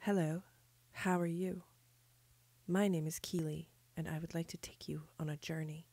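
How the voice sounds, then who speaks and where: A woman's quiet, dark, mellow voice at a fairly low pitch, monotone and flat, with long, frequent pauses. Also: moderate pace. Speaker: audio tour guide. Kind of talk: guided audio tour.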